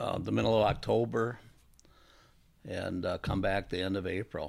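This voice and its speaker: A man with an Upper Midwest accent. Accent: Upper Midwest American. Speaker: tournament bass angler, inventor. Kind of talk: interview. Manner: hesitant, many fillers.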